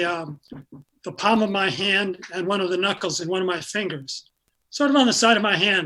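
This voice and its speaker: Projecting a raised voice, a man speaks at a high pitch with ordinary pitch variation. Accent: American. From upstate New York (Syracuse). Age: 70s. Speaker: retired pickleball player with Parkinson's. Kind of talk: interview. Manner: halting, many fillers.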